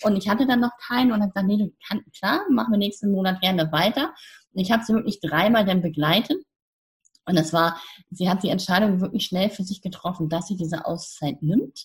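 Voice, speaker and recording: Somewhat breathy delivery at a fairly quick pace, with ordinary pitch variation. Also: woman, medium pitch for a woman. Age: 50s. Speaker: coach, founder of youth coaching platform. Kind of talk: interview. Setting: podcast interview.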